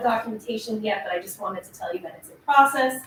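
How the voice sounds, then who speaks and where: Her pitch fairly high, a woman speaks with lively intonation. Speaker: economic development agency staff. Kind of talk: board meeting report. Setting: meeting room at city hall. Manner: fast.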